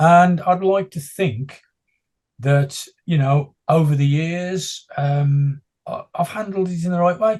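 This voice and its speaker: With a high pitch and ordinary pitch variation, a man speaks with long, frequent pauses. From West Midlands, England (West Bromwich). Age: 60s. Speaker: blind runner and motivational speaker. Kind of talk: interview.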